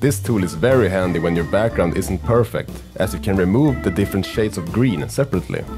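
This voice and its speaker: Upbeat and fairly quick, a man with a Swedish accent speaks in a very deep, low voice with very wide pitch swings over music in the background. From Sweden. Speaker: filmmaker. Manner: casual, upbeat.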